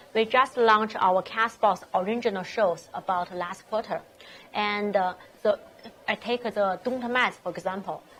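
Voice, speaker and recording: A woman speaks at a moderate pace with a Chinese accent, her medium pitch carried on fairly even intonation. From China. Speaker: startup founder. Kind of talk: interview. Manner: halting.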